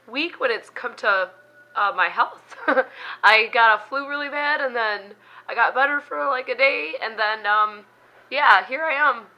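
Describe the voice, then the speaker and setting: A squeaky woman's voice at a high pitch moves at a fairly slow pace. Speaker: beauty vlogger. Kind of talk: casual vlog talk. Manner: hesitant, many fillers.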